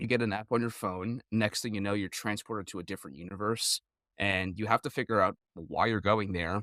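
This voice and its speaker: A man with an American accent talks at a fairly quick pace in a bright, sharp tone, dry and close with no echo on a very clean recording with a silent background. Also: fairly low pitch for a man. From New Jersey. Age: 20s. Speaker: gamer and streamer. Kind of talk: interview.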